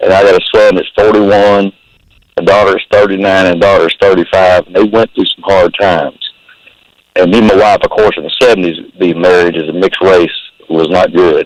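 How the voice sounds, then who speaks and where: With a Texan accent, a man talks at a fairly quick pace in a fairly low, monotone voice with flat intonation, the sound dry and close with no echo. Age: 60s. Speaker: caller. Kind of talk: casual chat.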